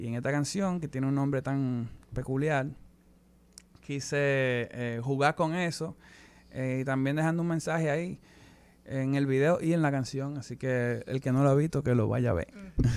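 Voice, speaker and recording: A man speaks with a Dominican accent. His pace is moderate and his pitch variation ordinary. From Dominican Republic. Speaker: musician; guest. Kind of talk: interview. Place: studio. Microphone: studio mic.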